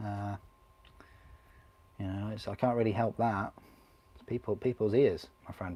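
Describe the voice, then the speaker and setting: A man with a fairly low pitch and dark, mellow tone speaks at a moderate pace in a monotone, flat intonation, with big swings in loudness and long, frequent pauses. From northern England, Grimsby. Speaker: miniature painting streamer. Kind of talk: casual live-stream chat while building models. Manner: chatty, relaxed.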